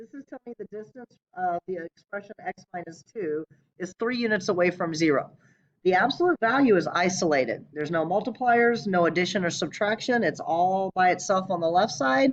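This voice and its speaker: A woman speaks at medium pitch with lively intonation and big swings in loudness. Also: fairly quick pace, dry, close sound with no echo. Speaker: math teacher. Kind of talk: lecture. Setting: recorded video lesson. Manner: fast.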